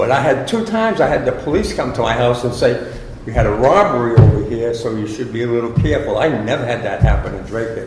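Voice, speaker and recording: A man talks fairly quickly, his voice carrying audible room echo over noticeable background noise. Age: 70s. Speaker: resident asking questions at town meeting. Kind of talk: public meeting Q&A. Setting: community center meeting room.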